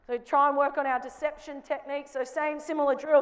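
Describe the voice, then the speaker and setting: Speaking at a fairly quick pace, a woman with an Australian accent keeps her high voice in a flat monotone. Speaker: basketball coach. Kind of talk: coaching clinic demonstration. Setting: basketball court with live audience. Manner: loud.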